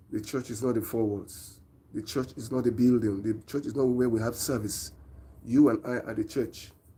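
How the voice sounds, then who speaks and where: Here a man with a Nigerian accent talks at a moderate pace and medium pitch with fairly even intonation. His tone is dark, mellow and somewhat breathy. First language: Nigerian language. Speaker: preacher. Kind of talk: live-stream sermon.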